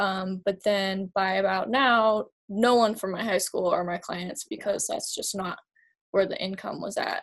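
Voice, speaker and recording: A plain, everyday voice from a woman, medium in pitch, with ordinary pitch variation and a fairly slow pace. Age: 20s. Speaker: photographer. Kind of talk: casual chat.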